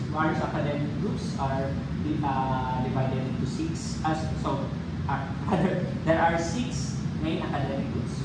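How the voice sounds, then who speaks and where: A man's voice with ordinary pitch variation, audible room echo and loud background noise. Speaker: presenter. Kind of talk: presentation. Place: meeting room. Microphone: phone near.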